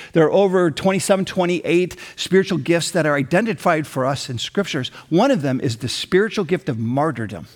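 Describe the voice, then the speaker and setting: With an American accent, this is a normal speaking voice with lively intonation, delivered at a moderate pace. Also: man. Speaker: pastor. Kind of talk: sermon. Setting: church with online campus.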